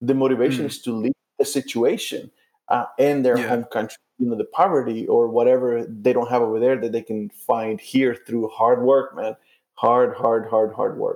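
This man has a plain, everyday voice, medium in pitch, and his fairly even intonation comes at a moderate pace. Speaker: missionary and podcast co-host. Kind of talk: casual conversation. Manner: conversational, laughing.

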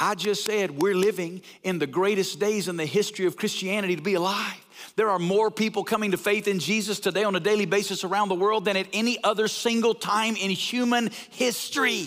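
A man with a Southern US accent, high-pitched, at a fairly quick pace. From US South, North Alabama. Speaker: pastor and church-planting network leader. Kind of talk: sermon. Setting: church. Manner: animated.

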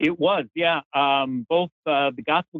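A man with an American accent, an unremarkable speaking voice, a fairly high pitch, ordinary pitch variation and a fairly slow pace. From US Midwest, Chicago. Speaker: theology professor, author. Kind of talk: interview.

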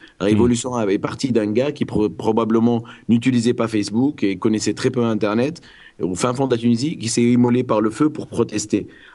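Medium in pitch, a man talks at a fairly quick pace with fairly even intonation. His tone comes across dark and mellow. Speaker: guest from Tunisia discussing the revolution. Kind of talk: casual chat. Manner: halting.

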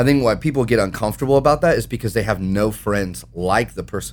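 Speaking at a fairly quick pace, a man shows vocal fry and ordinary pitch variation. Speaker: young adults ministry leader. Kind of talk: casual chat. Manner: animated.

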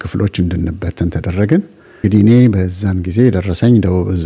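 Very deep and low in pitch, a man's voice sounds dark, mellow and somewhat breathy. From Ethiopia, Gondar region. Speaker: former army officer, refugee. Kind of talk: life story interview. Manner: halting.

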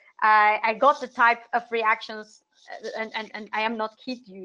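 A woman with a Spanish accent speaks at a fairly slow pace in a fairly high pitch. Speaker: international SEO consultant. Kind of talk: interview. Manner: frequent word repetitions.

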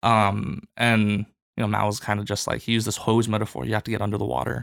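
A man talks in a bright, sharp tone. Vocal fry runs through his voice. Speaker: church staff member, seminary student. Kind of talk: casual chat.

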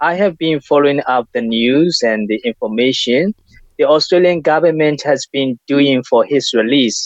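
The recording is dry and close with no echo as a man with a fairly high pitch and ordinary pitch variation speaks at a moderate pace. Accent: Burmese. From Myanmar. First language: Burmese. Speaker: community leader. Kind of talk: interview. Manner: halting.

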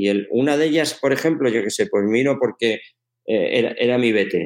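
At a fairly quick pace, a man talks in an ordinary speaking voice with a medium pitch and ordinary pitch variation. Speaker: sports science professor and coach. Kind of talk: interview.

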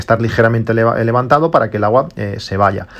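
Medium pitch marks this voice. The speaker is a man. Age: 40s. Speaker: tech podcaster. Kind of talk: solo podcast monologue. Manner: halting, frequent repetitions and fillers.

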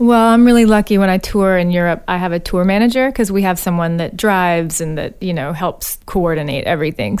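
With an American accent, a woman speaks in a plain, everyday voice at a medium pitch, a fairly quick pace, and ordinary pitch variation. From US South, Alabama. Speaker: singer-songwriter. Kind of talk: interview. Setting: studio.

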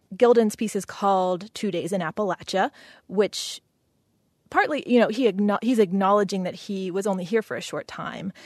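A woman with an American accent and an unremarkable speaking voice at medium pitch, with ordinary pitch variation, a moderate pace and a quiet background. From West Virginia. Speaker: multimedia artist. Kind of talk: interview.

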